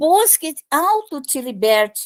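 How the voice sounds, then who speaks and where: The pitch swings very widely. The recording is very clean with a silent background. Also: woman. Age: 70s. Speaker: spiritist teacher. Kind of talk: lecture.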